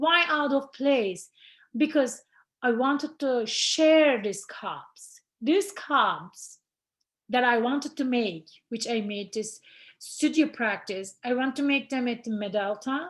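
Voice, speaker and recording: Against a quiet background, a woman with a non-native accent and a high pitch speaks very slowly with lively intonation. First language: not English. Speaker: ceramic artist. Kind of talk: artist talk presentation. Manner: halting.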